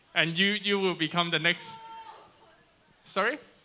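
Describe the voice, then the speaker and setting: A man speaks in a raised, projected voice with a Cantonese accent. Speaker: youth ministry game leader. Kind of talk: explaining game rules to youth group. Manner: halting, repeating words.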